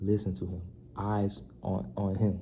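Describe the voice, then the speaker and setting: A man's fairly low, somewhat breathy voice with a dark, mellow tone and audible room echo. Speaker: youth basketball advice vlogger. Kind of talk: casual vlog advice. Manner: soft-spoken, quieter than usual; animated.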